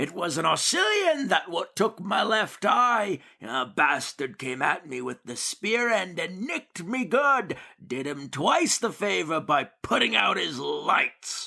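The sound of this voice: Doing a put-on character voice, a man speaks high and slow with big pitch swings, vocal fry, a bright, sharp tone and long, frequent pauses.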